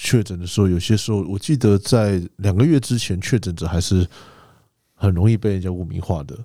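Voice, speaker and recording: In a very clean recording with a silent background, a man with a fairly low pitch and a dark, mellow tone speaks at a fairly quick pace with ordinary pitch variation. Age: 40s. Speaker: podcast co-host. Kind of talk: casual chat.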